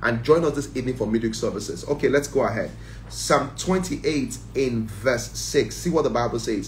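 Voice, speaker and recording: A man's animated voice at a moderate pace, with light background noise. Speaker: church prayer leader. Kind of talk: fervent group prayer. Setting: online livestream. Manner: fervent, intense; animated, praising. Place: home room. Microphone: phone near.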